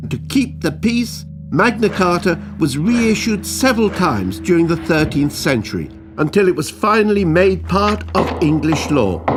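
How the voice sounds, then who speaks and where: A man's fairly high voice in a British accent, fairly slow, with very wide pitch swings and music in the background. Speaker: narrator. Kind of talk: educational animation narration.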